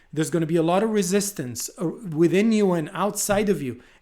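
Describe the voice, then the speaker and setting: The pace is fairly quick and the pitch variation ordinary. A man speaks in an Israeli accent. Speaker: podcast host. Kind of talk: casual chat.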